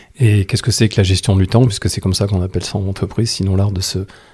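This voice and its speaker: This man's fairly low voice has a dark, mellow tone, a somewhat breathy quality, and fairly even intonation. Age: 60s. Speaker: time management coach and trainer. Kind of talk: interview.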